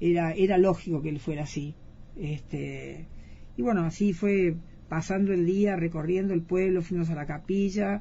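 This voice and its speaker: A woman speaks at a moderate pace in a fairly low, somewhat breathy voice with fairly even intonation. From Argentina. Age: 60s. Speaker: eyewitness interviewee. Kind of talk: interview testimony. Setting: radio studio.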